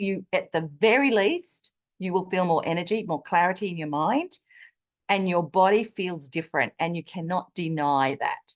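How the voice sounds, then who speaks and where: The delivery is animated, with lively intonation at a moderate pace. The sound is dry and close, with no echo. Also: woman, quiet background. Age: 60s. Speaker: wellness product user sharing testimony. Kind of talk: testimony.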